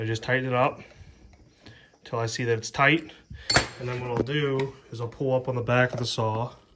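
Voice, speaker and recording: A man with an American accent speaks at a moderate pace in a medium pitch, his intonation monotone and flat, with long, frequent pauses and noticeable background noise. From western Pennsylvania, near Pittsburgh. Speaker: firewood seller and homesteading vlogger. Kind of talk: casual outdoor vlog tutorial. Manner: relaxed, conversational.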